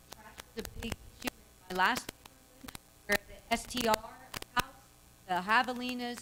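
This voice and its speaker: Loud and fairly high-pitched, a woman speaks at a moderate pace with fairly even intonation. She takes long, frequent pauses over noticeable background noise. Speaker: local activist speaker. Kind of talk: public Q&A. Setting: public meeting with audience.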